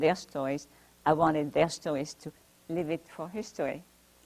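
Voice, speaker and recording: With a strong French accent, a woman speaks at a moderate pace in a very deep, low voice with ordinary pitch variation. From France (Paris). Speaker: Holocaust survivor and author. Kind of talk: talk to library audience. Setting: library talk with audience. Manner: halting.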